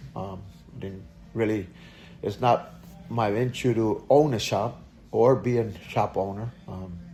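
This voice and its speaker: A man's fairly low, somewhat breathy voice with a dark, mellow tone, fairly even intonation, a fairly slow pace, long, frequent pauses and big swings in loudness. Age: 60s. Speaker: auto repair shop owner. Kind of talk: interview. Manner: halting, many fillers.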